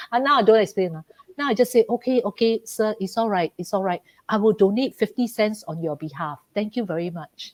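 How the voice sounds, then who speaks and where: A woman's fairly high voice in a Malaysian accent, recorded dry and close with no echo, with big swings in loudness. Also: ordinary pitch variation. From Malaysia, Ipoh. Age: 60s. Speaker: business executive. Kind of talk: podcast interview. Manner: animated.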